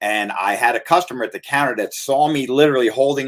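A man talking at a fairly quick pace, with ordinary pitch variation. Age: 50s. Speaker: health food shop owner. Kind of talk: casual chat. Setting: live stream. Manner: halting.

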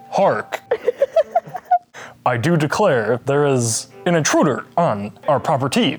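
Putting on a shrill character voice, a man speaks fairly slowly at a fairly high pitch with lively intonation, very even loudness and long, frequent pauses, as faint music plays in the background. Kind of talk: archaic, pompous wording.

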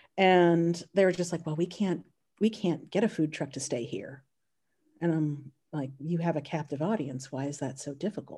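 A woman speaks with an American accent in a fairly low, somewhat breathy voice with a dark, mellow tone and ordinary pitch variation. The recording is very clean, with a silent background. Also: moderate pace. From North Carolina. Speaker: chef and food business owner. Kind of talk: casual chat.

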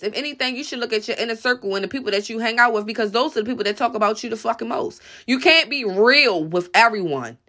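A loud woman at a very fast pace, high in pitch, with a bright, sharp tone and lively intonation. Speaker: podcast commentator. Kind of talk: angry rant, profanity-heavy opinion monologue. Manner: aggressive, blunt, loud and defiant; confrontational, repeatedly asking 'you feel me'.

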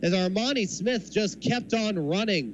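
A man talks at a moderate pace in an excited tone with lively intonation. Noticeable background noise runs behind him. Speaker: baseball radio play-by-play announcer. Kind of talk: live sports commentary, baseball play-by-play highlights. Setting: radio broadcast. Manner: excited on home runs, building suspense with rising tension.

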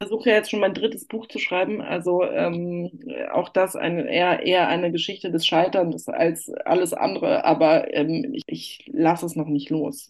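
This is a woman with an unremarkable speaking voice. She talks at a moderate pace. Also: fairly low pitch for a woman, lively intonation. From northern Germany, Hamburg. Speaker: journalist and architecture critic. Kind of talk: interview. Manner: many filler sounds (äh, ähm).

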